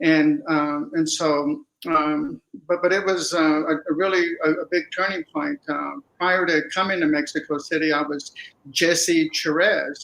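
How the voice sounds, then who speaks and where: This speaker has a Texan accent and talks at a fairly slow pace. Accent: Texan American English. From Texas, Dallas. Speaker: writer and artist. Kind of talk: interview. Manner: halting.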